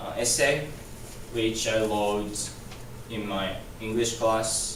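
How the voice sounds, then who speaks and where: Noticeable background noise and audible room echo surround a man's medium-pitched voice. He speaks very slowly in a monotone, flat delivery. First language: not English. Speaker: student. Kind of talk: class presentation. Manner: halting, many repetitions.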